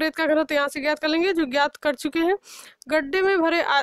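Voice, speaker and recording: At a moderate pace, a woman speaks in a high pitch with fairly even intonation, her sound dry and close with no echo. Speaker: lecturer. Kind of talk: lecture.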